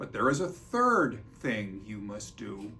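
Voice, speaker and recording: A man's put-on character voice at medium pitch, with lively intonation and a fairly slow pace, over background music and audible echo. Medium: read story. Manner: warm, kindly.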